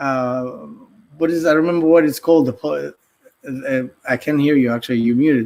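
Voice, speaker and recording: With a Greek accent, a man talks with ordinary pitch variation. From Greece, Athens. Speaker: artist and podcaster. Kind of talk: casual interview. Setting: live stream. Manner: hesitant, many fillers.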